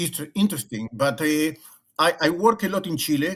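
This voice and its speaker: A man's fairly high-pitched voice at a fairly quick pace with lively intonation. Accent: Argentine. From Argentina. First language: Spanish. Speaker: leadership consultant and former rabbi. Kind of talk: interview conversation. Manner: halting, many repetitions and fillers.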